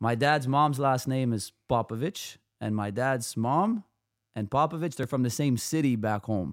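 A plain, everyday voice with a Canadian accent moves at a moderate pace with ordinary pitch variation, recorded very cleanly with a silent background and a dry, close sound with no echo. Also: man, medium pitch for a man. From Canada, Toronto. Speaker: basketball trainer and coach. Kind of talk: casual chat.

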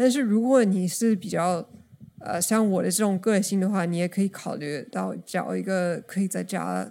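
A woman with an English accent, medium pitch, a dark, mellow tone and a moderate pace. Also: ordinary pitch variation. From United States. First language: English (speaking Chinese). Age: 30s. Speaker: podcast guest. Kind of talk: casual chat.

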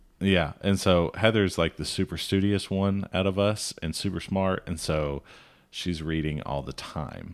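Speaking at a fairly slow pace with a Southern US accent, a man with a very deep, low pitch shows ordinary pitch variation in a very clean recording with a silent background. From Alabama. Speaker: podcast co-host, former cattle rancher. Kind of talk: casual chat.

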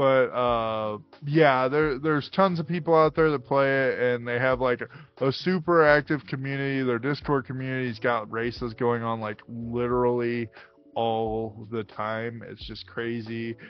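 A man with a normal speaking voice talks at a moderate pace, his pitch medium and his pitch variation ordinary. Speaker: podcast co-host. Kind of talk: casual chat.

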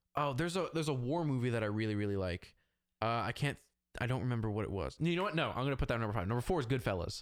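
A man talks very fast with lively intonation. The recording is very clean, with a silent background. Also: medium pitch for a man, very even loudness. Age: 20s. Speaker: podcast guest, aspiring filmmaker and social media enthusiast. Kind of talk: casual chat.

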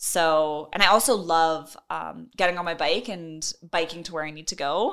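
With a Canadian accent, a woman has an unremarkable speaking voice, fairly low in pitch, with ordinary pitch variation and a moderate pace. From Edmonton, Alberta, Canada. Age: 20s. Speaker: Paralympic sprinter. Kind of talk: casual interview.

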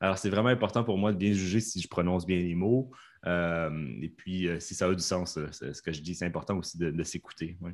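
A man's very deep, low voice with a Canadian French accent, a fairly quick pace, ordinary pitch variation, and a very clean recording with a silent background. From Canada. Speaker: professional interpreter. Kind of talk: casual interview. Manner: clear, careful articulation.

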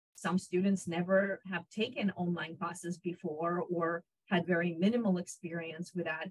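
A somewhat breathy woman with a fairly low pitch speaks at a moderate pace with fairly even intonation and hardly any pauses, the sound dry and close with no echo. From Israel (born in Ukraine). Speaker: psychology professor. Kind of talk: interview. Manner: hesitant, many fillers.

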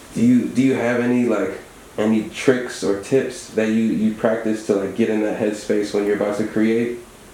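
A man's fairly low, relaxed voice in a monotone, flat intonation at a moderate pace, over noticeable background noise. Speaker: radio host. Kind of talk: casual radio interview. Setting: studio. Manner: relaxed, conversational.

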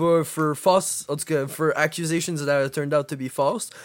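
At a fairly slow pace, a man speaks in an unremarkable speaking voice, fairly high-pitched with ordinary pitch variation, on a very clean recording with a silent background. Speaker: podcast co-host. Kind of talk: casual chat.

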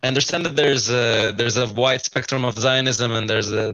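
This man has a medium-pitched voice with an Arabic accent. His intonation stays fairly even. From Kfar Qasem, Israel. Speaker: psychology student. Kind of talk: group discussion. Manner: repeats words.

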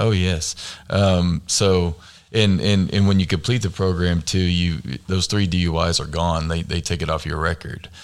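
A man with a very deep, low pitch speaks with an American accent. His intonation stays fairly even at a moderate pace. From Oklahoma. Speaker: recovering alcoholic. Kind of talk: testimony. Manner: halting, many fillers.

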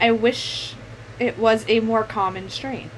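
Over noticeable background noise, a woman speaks at a fairly slow pace in a raised, projected voice. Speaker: podcast co-host. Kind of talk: casual chat.

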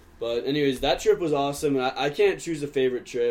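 With an American accent, the man talks at a medium pitch. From Georgia, US. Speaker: podcast host, college student. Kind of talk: casual chat.

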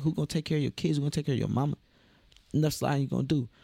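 A man's dark, mellow tone with an American accent. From Omaha, Nebraska, US Midwest. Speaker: clothing designer and musician. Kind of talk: casual interview.

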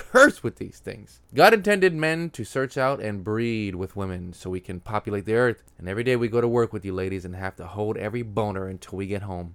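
In a very clean recording with a silent background, a man with an American accent and an unremarkable speaking voice talks at a fairly quick pace with hardly any pauses, a fairly low pitch, ordinary pitch variation and big swings in loudness. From Texas (Houston). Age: 30s. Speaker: comedian. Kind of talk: stand-up.

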